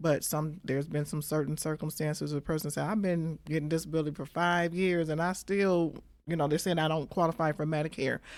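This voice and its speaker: A woman with an American accent, very deep and low in pitch, fairly quick, monotone and flat, on a very clean recording with a silent background. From Michigan. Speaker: Medicare insurance broker. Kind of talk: interview, explaining.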